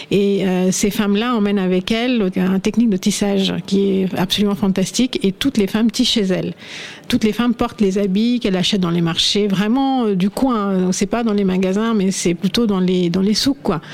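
Amid noticeable background noise, a woman with a medium pitch speaks at a moderate pace, her loudness very even and her intonation fairly even. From India, Assam (north-east). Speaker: fashion shop owner. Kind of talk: radio panel discussion.

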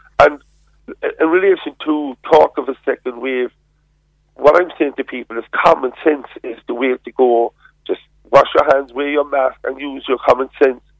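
A man with a Cork accent speaks at a moderate pace in a fairly high pitch. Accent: Cork Irish. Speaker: politician. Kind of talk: radio interview.

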